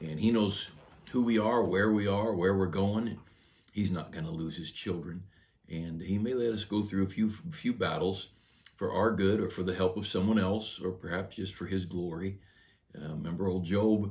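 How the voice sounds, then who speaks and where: In a plain, everyday voice, a man speaks at a moderate pace with a fairly low pitch and fairly even intonation. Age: 60s. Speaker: pastor. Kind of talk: devotional sermon. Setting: church office. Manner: conversational with frequent fillers.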